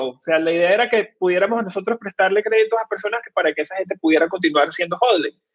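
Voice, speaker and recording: A man with a Venezuelan accent talks at a fairly quick pace in a high pitch, his pitch varying in an ordinary way. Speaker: fintech co-founder. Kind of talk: interview. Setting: live stream.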